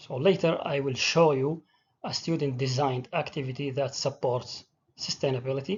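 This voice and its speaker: Somewhat breathy, the speaker talks at a moderate pace in an Arabic accent. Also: man, fairly high pitch for a man, fairly even intonation. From Saudi Arabia. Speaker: teacher. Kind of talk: presentation.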